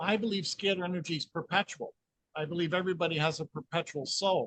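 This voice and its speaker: In a dry, close sound with no echo, a man talks at a high pitch with a bright, sharp tone. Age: 60s. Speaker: energy healing researcher. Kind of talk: interview.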